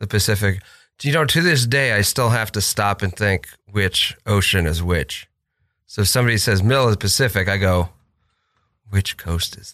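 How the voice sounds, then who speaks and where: On a very clean recording with a silent background, a man with a bright, sharp tone speaks with long, frequent pauses and big swings in loudness. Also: fairly low pitch for a man, ordinary pitch variation, moderate pace. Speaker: podcast co-host. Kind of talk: casual chat. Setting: studio.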